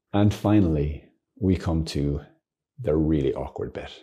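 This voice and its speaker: Very deep and low, a man's voice has a dark, mellow tone and vocal fry at a moderate pace. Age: 50s. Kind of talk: informal teaching monologue. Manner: animated, laughing often.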